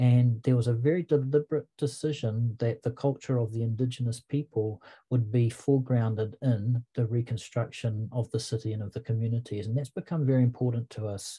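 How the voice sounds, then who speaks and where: With a New Zealand accent, a man speaks in a dark, mellow, somewhat breathy voice, hardly pausing, in a dry, close sound with no echo. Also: medium pitch for a man, fairly even intonation, fairly quick pace, quiet background. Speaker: English literature professor. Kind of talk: online seminar presentation.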